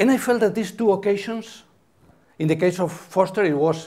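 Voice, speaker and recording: This is a man's voice. The background is silent, and the recording is very clean. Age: 70s. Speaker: architecture critic. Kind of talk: lecture. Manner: halting.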